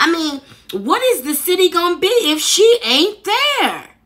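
A woman talks at a moderate pace in an extremely high pitch with very wide pitch swings. Noticeable background noise is present. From Chicago, north side. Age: 40s. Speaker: YouTube commentator. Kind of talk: video commentary. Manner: animated.

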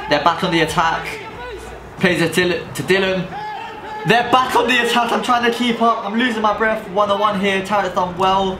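Over noticeable background noise, a man with a high pitch uses a raised, projected voice in an animated, excited tone. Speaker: futsal player and YouTuber. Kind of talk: sports commentary over match footage. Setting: indoor futsal pitch with team. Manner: animated, fast, excited play-by-play.

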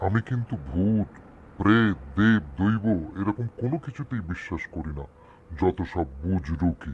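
Using a put-on character voice, a man talks at a moderate pace in a fairly low pitch.

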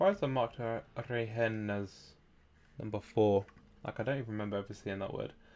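This man speaks at a fairly quick pace in a medium pitch, with fairly even intonation. He leaves long, frequent pauses. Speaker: language learner streamer. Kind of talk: live stream language study. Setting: live stream at home with chat. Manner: halting, frequent fillers. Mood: mildly surprised, relaxed. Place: home room. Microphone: studio mic.

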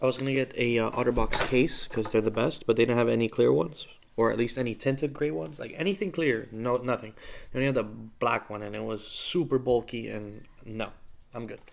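Fairly quick pace with ordinary pitch variation. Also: man. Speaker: vlogger. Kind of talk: casual vlog chat. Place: home room. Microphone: phone near.

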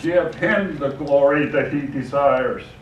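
Over light background noise and audible room echo, a man talks at a fairly slow pace with ordinary pitch variation. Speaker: preacher. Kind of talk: sermon. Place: church.

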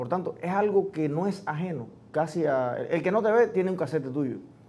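A man talks at a high pitch with ordinary pitch variation. He keeps a moderate pace. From Cuba. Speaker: interview show host. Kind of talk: interview. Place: studio.

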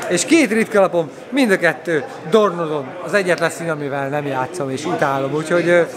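Clear crowd noise and clear background noise fill the recording. Over it, a man talks in a fairly high pitch with ordinary pitch variation.

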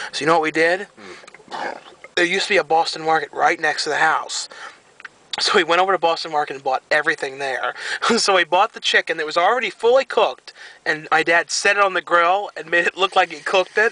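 Talking at a fairly quick pace, a man uses a high pitch with ordinary pitch variation. The sound is dry with no echo. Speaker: vlogger. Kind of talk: casual vlog chat. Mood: amused storytelling. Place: car.

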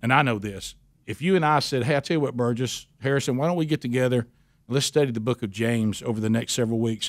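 With an Alabama accent, a man speaks in a medium pitch. His pitch variation is ordinary, and the background is quiet. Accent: Southern US (Alabama). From US South, Alabama. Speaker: radio host. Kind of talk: interview. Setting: studio. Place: studio. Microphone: studio mic.

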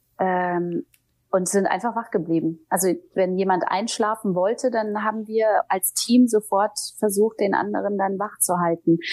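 In an unremarkable speaking voice, a woman talks at a fairly slow pace and medium pitch. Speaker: TV presenter and audiobook narrator. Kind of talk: interview answer.

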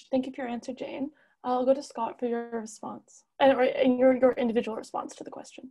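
A woman speaks at a fairly quick pace and a high pitch in a dark, mellow tone, her intonation monotone and flat, with big swings in loudness against a quiet background. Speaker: debate moderator and journalist; debate moderator, journalist. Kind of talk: moderating a debate. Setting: video call. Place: home room. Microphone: earbuds.

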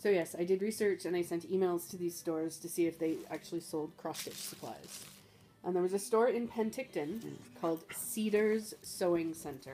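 A woman's fairly low voice at a moderate pace, with ordinary pitch variation and faint music in the background. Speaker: craft hobbyist vlogger. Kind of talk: casual vlog chat. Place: home room. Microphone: phone near.

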